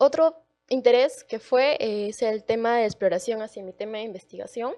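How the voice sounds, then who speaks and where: At a fairly slow pace, a woman with a fairly high pitch and ordinary pitch variation speaks against a quiet background. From Peru, Arequipa. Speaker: university student. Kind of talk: panel talk, personal testimony. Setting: auditorium event, livestreamed. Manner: hesitant, many fillers.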